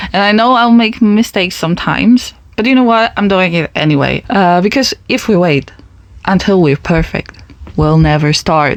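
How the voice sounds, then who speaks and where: In a Polish accent, a woman speaks at a moderate pace and medium pitch with lively intonation and very even loudness. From Poland. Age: 20s. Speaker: podcast host. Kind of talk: personal monologue podcast. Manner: casual, conversational.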